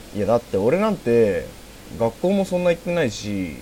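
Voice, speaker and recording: A man's voice with very wide pitch swings. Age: 20s. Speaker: amateur podcast host. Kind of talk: casual chat.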